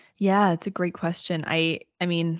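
A woman with an American accent and a fairly low pitch at a moderate pace, in a dry, close sound with no echo and a quiet background. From Southern Illinois, US. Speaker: quantum healer and astrologer. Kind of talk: casual interview chat.

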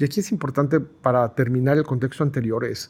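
The man's voice is somewhat breathy. It sits at a medium pitch. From Guadalajara, Mexico. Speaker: process improvement consultant. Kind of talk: interview conversation.

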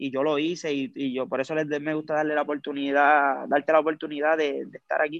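In a dry, close recording with no echo, a man with a fairly high pitch talks at a fairly quick pace in a monotone, flat intonation, with hardly any pauses. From Puerto Rico, Lares (west). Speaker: music video director. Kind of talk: casual interview.

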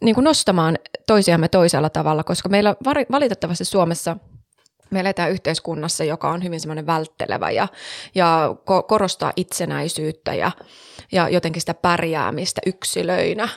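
A woman with an unremarkable speaking voice, fairly low-pitched, at a moderate pace with ordinary pitch variation, dry and close with no echo, on a very clean recording with a silent background. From Savo, Finland. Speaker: podcast co-host. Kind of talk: casual chat. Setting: studio.

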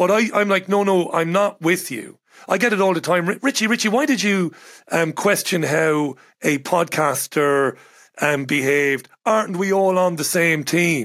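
A man with an Irish accent speaks at a moderate pace. His voice sits high, with ordinary pitch variation. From Ireland. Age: 40s. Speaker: radio broadcaster and journalist. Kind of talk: casual chat.

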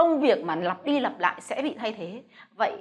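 This woman's high voice swings very widely in pitch. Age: 40s. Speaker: businesswoman and investor. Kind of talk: motivational talk to camera.

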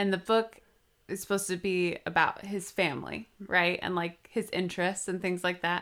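A woman with an American accent, at a medium pitch and moderate pace. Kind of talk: casual chat. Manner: animated.

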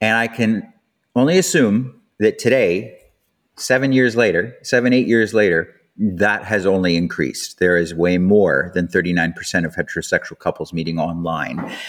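A man with a Canadian accent speaks at a fairly low pitch and a moderate pace with lively intonation, on a very clean recording with a silent background. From Canada. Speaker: podcast host, sex educator. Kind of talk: casual monologue. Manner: animated.

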